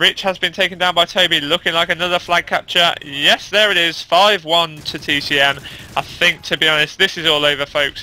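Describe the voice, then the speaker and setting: A man with a British accent talks at a fairly quick pace. His pitch is high. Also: hardly any pauses. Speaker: esports commentator. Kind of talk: live commentary. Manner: loud; fast.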